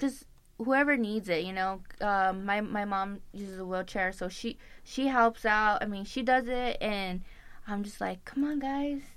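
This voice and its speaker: This woman has an unremarkable speaking voice at medium pitch, with ordinary pitch variation. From Tucson, Arizona (Tohono O'odham). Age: 20s. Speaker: nutrition club owner. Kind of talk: interview.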